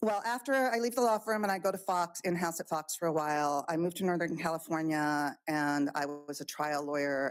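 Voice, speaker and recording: Woman's unremarkable speaking voice, fairly low in pitch with ordinary pitch variation, fairly quick with hardly any pauses, on a very clean recording with a silent background. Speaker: expert witness. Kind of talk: court testimony. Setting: courtroom. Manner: conversational.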